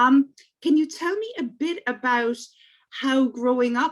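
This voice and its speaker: A woman with an Irish accent talks at a fairly slow pace. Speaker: podcast host. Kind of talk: interview.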